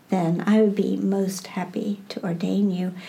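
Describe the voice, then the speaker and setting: Somewhat breathy, a woman speaks with a dark, mellow tone in a Midwestern American accent. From US Midwest, Iowa. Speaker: Buddhist teacher. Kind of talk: interview.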